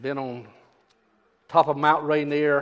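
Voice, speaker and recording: This man speaks at a fairly slow pace. His intonation is monotone and flat. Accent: Southern US. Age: 70s. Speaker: preacher. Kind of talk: sermon. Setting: church.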